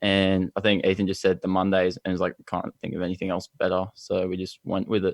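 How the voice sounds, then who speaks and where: A man with an Australian accent speaks at a fairly quick pace in a very deep, low pitch, with hardly any pauses. His intonation is flat and monotone, and the sound is dry and close with no echo. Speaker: band musician. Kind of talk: casual interview.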